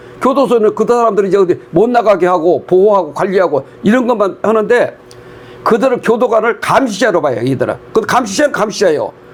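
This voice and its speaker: Over noticeable background noise, a man with a high pitch talks at a fairly quick pace with lively intonation and very even loudness. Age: 80s+. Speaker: prison volunteer counselor and church elder. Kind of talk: interview testimony. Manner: conversational, with frequent fillers.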